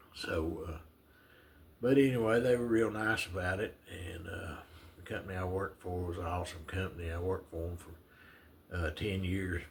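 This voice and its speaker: A man speaks with a Southern US accent at a moderate pace, his very deep, low pitch showing ordinary variation. Noticeable background noise runs underneath. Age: 70s. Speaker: retiree vlogger. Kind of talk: casual storytelling monologue. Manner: halting, many fillers.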